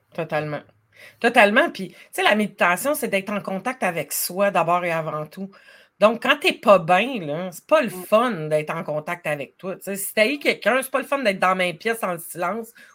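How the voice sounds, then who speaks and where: A woman with a Quebec accent speaks at a moderate pace with lively intonation. Her loudness swings widely. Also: very clean recording, silent background. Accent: Québécois French. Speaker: life coach. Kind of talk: casual chat.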